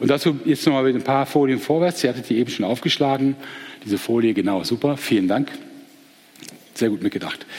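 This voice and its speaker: A man with a medium-pitched voice talks at a fairly quick pace, with ordinary pitch variation. He leaves long, frequent pauses, and there is noticeable background noise. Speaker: teacher giving a Bible talk. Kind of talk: Bible lecture. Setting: live audience with slides.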